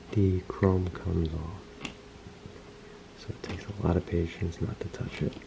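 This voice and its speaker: A man whispers, soft-spoken, at a moderate pace with long, frequent pauses, amid noticeable background noise. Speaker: toy customizer and video creator. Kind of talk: tutorial. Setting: home, close to camera. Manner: whispering, soft-spoken.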